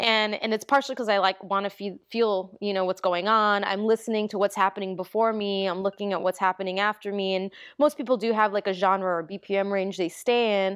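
A woman with an American accent and an unremarkable speaking voice: medium pitch, fairly even intonation, hardly any pauses, dry and close with no echo, quiet background. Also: fairly quick pace. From New York, the Bronx. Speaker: DJ. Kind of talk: casual chat.

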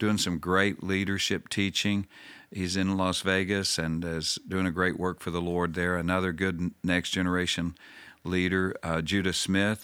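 Bright, sharp tone with very even loudness, monotone, flat intonation and a fairly slow pace. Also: man, very deep, low pitch for a man, very clean recording, silent background. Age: 60s. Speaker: pastor and church overseer. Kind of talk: interview conversation. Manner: halting.

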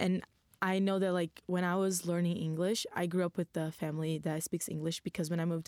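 Very fast speech in a Brazilian accent comes out monotone and flat, with a dry, close sound and no echo. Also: woman. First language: Portuguese. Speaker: university student. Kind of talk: casual panel discussion.

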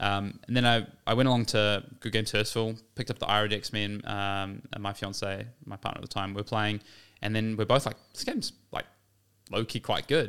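Fairly low-pitched man with a New Zealand accent, fairly quick and monotone, on a very clean recording with a silent background. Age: 20s. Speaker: competitive card game player. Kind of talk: casual chat.

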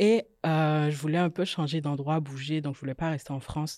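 A dark, mellow tone with fairly even intonation comes through on a very clean recording with a silent background. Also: woman. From Guadeloupe. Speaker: microelectronics engineer. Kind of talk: casual interview discussion.

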